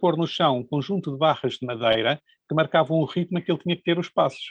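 The man talks at a fairly quick pace, with a fairly high pitch and ordinary pitch variation. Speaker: economics professor. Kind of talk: interview. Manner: halting, with repetitions.

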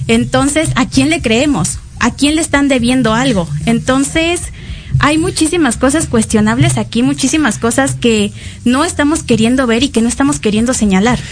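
A woman with a fairly high pitch speaks at a moderate pace with lively intonation. Her loudness stays very even over noticeable background noise. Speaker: student podcast co-host. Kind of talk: casual political chat.

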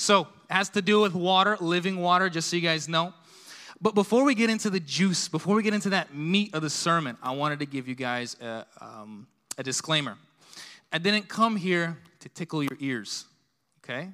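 In a very clean recording with a silent background, a man with a high pitch and a bright, sharp tone speaks at a moderate pace with lively intonation and big swings in loudness. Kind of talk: sermon. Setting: church.

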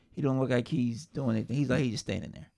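Talking at a fairly quick pace, a man with a medium pitch shows vocal fry and ordinary pitch variation. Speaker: podcast co-host. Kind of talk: casual banter between friends.

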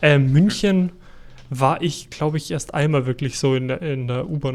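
A man with a slight Bavarian accent, medium pitch and moderate pace. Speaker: podcast co-host. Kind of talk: casual chat.

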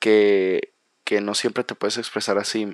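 The recording is dry and close with no echo as a man speaks at a moderate pace in a fairly low voice. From Mexico, Manzanillo, Colima. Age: young. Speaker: podcaster, university student. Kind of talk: solo podcast monologue. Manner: halting, many fillers and repetitions.

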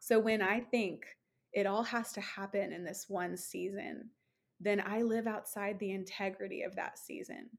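A woman talks at a moderate pace in a normal speaking voice. Her pitch is medium, with ordinary variation. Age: 30s. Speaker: ministry leader and founder. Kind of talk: casual chat.

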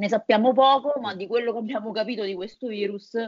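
A woman speaks in a fairly high pitch with ordinary variation. Hers is a plain, everyday voice. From Italy, Lazio (Viterbo). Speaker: nutritionist biologist and virologist. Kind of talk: interview.

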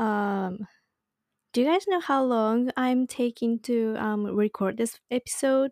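A woman's fairly high voice with a Japanese accent, ordinary pitch variation and a very slow pace, in a very clean recording with a silent background and a dry, close sound with no echo. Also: very even loudness. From Japan (Saitama, north of Tokyo). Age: 20s. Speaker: podcast host. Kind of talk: casual solo podcast talk. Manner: casual, chatty.

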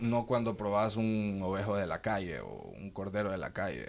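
A man has a plain, everyday voice with a fairly low pitch. He speaks at a moderate pace with ordinary pitch variation. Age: 20s. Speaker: sheep farming entrepreneur. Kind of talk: casual interview.

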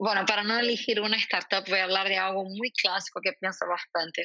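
Speaking with a Portuguese accent, a woman keeps a moderate pace. Her pitch is medium. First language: Portuguese (speaking Spanish). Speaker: marketing executive. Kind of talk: interview.

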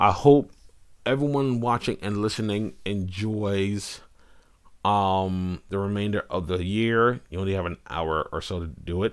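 A man speaks at a fairly slow pace in a plain, everyday voice, fairly low in pitch with ordinary pitch variation. The recording is very clean, with a silent background. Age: 30s. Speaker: entertainment commentator and live streamer. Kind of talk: live stream monologue. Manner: casual, conversational with fillers.

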